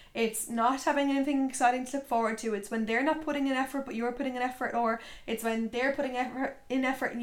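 Talking very fast with fairly even intonation, a woman with an Irish accent has a high pitch. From Ireland, County Tipperary. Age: 20s. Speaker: podcast host. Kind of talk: casual solo talk. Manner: chatty, filler-heavy.

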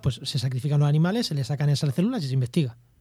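Rushing at a very fast pace, a man speaks with a Spanish accent at a fairly high pitch. His voice is somewhat breathy, with a dark, mellow tone. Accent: Peninsular Spanish. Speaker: podcast host. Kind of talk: casual chat.

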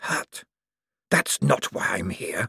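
A man puts on a raspy, hissing character voice, recorded with a dry, close sound and no echo.

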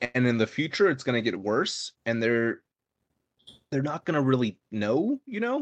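A man's normal speaking voice at a medium pitch, with lively intonation and a moderate pace, in a dry, close sound with no echo. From California. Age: 20s. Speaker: podcast co-host, college student. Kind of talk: casual chat. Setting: live stream.

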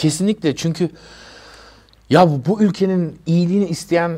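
At a moderate pace, a man talks with lively intonation and a dark, mellow tone. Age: 50s. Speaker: rapper. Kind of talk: interview.

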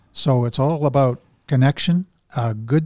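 A man's fairly high voice, dark and mellow in tone, with a Canadian accent, ordinary pitch variation, and a dry, close sound with no echo. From Alberta, Canada. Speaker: men's support group organizer. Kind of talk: casual interview. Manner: halting.

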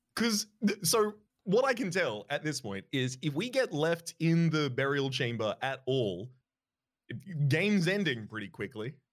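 The man's voice sits fairly high in pitch, with very wide swings. His pace is fairly slow. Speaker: podcast co-host. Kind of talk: casual banter with joking character voices. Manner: playful, jokey.

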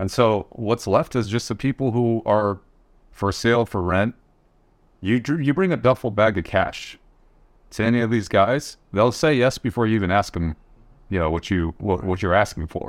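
Moderately paced and with ordinary pitch variation, this is an unremarkable speaking voice in an American accent. The background is silent on a very clean recording. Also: man, fairly low pitch for a man. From Michigan. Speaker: podcast co-host. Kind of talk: panel discussion.

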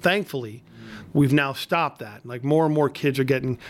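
A man with a normal speaking voice, fairly high in pitch, at a moderate pace. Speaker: state legislator podcast host. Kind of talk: casual interview chat. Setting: studio.

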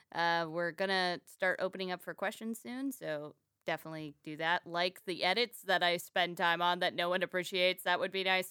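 Speaking with an American accent, a woman with a fairly low pitch talks at a fairly quick pace with fairly even intonation and hardly any pauses, in a very clean recording with a silent background. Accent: Texan twang trained away in childhood. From Texas, later Florida. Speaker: stand-up comedian and podcast host. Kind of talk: casual chat.

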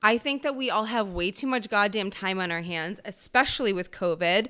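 A plain, everyday voice from a woman at a moderate pace. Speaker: solo podcast host. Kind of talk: solo monologue podcast.

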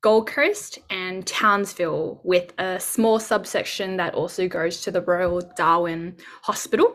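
A woman in an Australian accent, on a very clean recording with a silent background. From Sydney, Australia. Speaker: junior doctor. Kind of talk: interview.

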